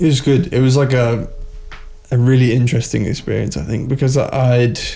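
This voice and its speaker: A man with an English accent speaks at a medium pitch and a fairly quick pace, his tone dark, mellow and somewhat breathy. His intonation is fairly even, and there is audible room echo. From Luxembourg, English mother. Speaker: athlete. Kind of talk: casual chat.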